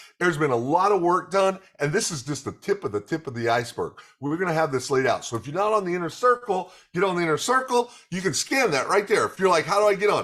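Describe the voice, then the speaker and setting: An animated, very fast delivery in an American accent, with very wide pitch swings. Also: man, high pitch for a man. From Oklahoma. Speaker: network marketing trainer. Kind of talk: training presentation.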